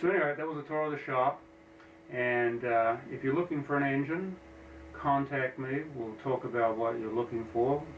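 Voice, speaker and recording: With an American accent, a man speaks at a moderate pace and medium pitch, using ordinary pitch variation, over noticeable background noise. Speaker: engine builder. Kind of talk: casual shop tour talk. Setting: office. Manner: hesitant, many fillers.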